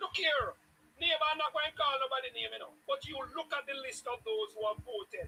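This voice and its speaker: The voice is raised and projected, with lively intonation. It moves at a fairly quick pace. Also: man, extremely high pitch for a man. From Jamaica. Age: 60s. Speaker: political supporter on talk show. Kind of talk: heated debate. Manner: animated.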